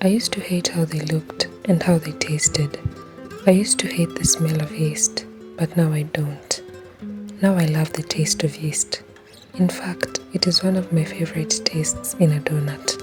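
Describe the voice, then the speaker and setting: Someone whispers at a moderate pace with long, frequent pauses while music plays in the background. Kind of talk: reflective personal voice-over. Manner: whispered.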